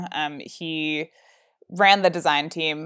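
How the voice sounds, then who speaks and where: On a very clean recording with a silent background, a woman speaks in a very deep, low pitch with ordinary pitch variation. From New Jersey. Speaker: startup founder. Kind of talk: interview.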